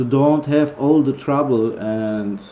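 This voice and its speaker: A man with a Greek accent at a fairly high pitch, with ordinary pitch variation and a very slow pace. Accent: non-native English, Greek. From Greece. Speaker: vaping product reviewer. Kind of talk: tutorial. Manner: halting, many fillers.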